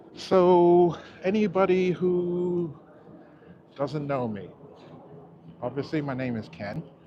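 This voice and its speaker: With an American accent, a man speaks at a very slow pace, leaving long, frequent pauses. His pitch is high for a man, and his tone is dark and mellow. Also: lively intonation. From England, Oxford area. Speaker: YouTuber, city walk vlogger. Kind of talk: live stream walking tour. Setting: outdoors, walking on elevated park. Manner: casual, meandering.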